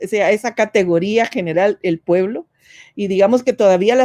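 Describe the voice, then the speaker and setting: Against a quiet background, a woman's dark, mellow tone comes through dry and close with no echo, at a moderate pace with ordinary pitch variation. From Guatemala. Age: 60s. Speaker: feminist activist and former politician. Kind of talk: webinar panel talk.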